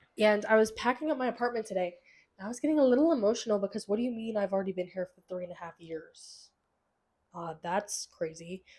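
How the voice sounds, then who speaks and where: Here a woman with a fairly high pitch and lively intonation is heard in a very clean recording with a silent background. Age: 20s. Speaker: podcast host and university student. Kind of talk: casual chat. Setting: home recording with pets. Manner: chatty, filler-heavy.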